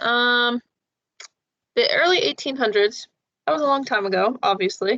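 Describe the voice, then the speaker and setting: A woman talks at a moderate pace with a high pitch and lively intonation. Her tone is bright and sharp, and the sound is dry and close with no echo. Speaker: peer tutor leading a biology review session. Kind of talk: tutoring session. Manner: casual with many fillers.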